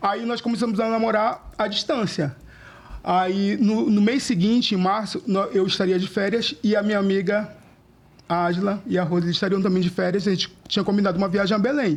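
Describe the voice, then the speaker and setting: A man talks at a fairly quick pace in a high pitch. His pitch varies an ordinary amount and his loudness is very even. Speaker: podcast guest. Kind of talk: casual chat. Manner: fast.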